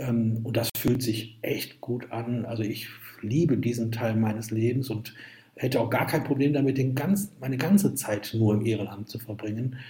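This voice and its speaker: Noticeable background noise runs under speech that has ordinary pitch variation. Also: man, medium pitch for a man, moderate pace. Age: 50s. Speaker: entrepreneur and author. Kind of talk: interview.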